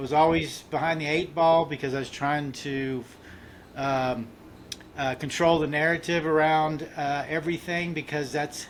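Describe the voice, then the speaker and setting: Here a man talks at a moderate pace. His pitch is fairly high and his intonation fairly even. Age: 60s. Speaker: mental health advocate and author. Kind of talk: interview testimony. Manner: halting, many fillers and restarts.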